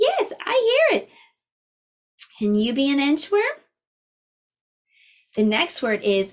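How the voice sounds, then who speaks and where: Cheerful and high-pitched, a woman talks with very wide pitch swings and long, frequent pauses. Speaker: preschool teacher. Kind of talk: preschool lesson talk to camera. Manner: slow, clear, cheerful.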